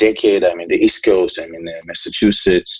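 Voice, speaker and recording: A man at a very fast pace. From Israel. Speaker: entrepreneur. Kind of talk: interview. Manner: hesitant, many fillers.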